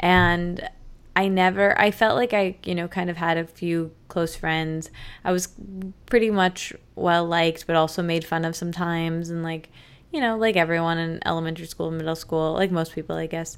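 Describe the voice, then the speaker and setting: This woman has an unremarkable speaking voice with an American accent, fairly low in pitch, with fairly even intonation. She keeps a moderate pace on a very clean recording with a silent background. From Michigan. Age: 20s. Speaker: podcaster and author. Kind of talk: casual interview.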